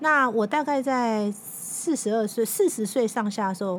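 Fairly high in pitch and somewhat breathy, a woman speaks with ordinary pitch variation. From Taiwan, Taipei. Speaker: magazine editor-in-chief and author. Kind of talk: interview.

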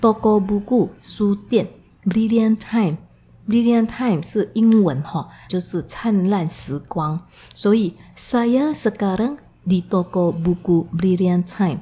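Speaking very slowly, a woman with a medium pitch and ordinary pitch variation has a dark, mellow, somewhat breathy tone. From Indonesia (ethnic Chinese). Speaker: Indonesian language teacher. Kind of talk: language lesson. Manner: slow, explanatory.

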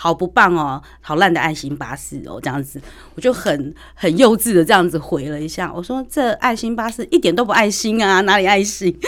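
Quickish and lively, a woman of medium pitch talks in an unremarkable speaking voice at a fairly quick pace. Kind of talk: radio interview.

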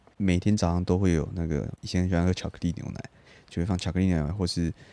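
Very deep and low, a man's voice has a dark, mellow tone. He talks very fast with ordinary pitch variation. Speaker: podcast co-host. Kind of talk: casual chat.

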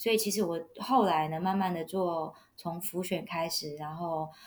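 A woman speaks in a normal speaking voice at a fairly low pitch and a fairly slow pace, on a very clean recording with a silent background. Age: young. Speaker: wedding emcee and local election candidate. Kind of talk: interview.

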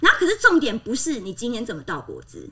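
Over noticeable background noise, a woman speaks very fast in an animated tone with very wide pitch swings. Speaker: former flight attendant. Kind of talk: casual chat.

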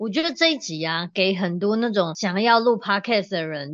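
Lively intonation from a woman at a medium pitch, delivered at a moderate pace. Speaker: organizing consultant and podcast host. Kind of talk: casual chat. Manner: animated.

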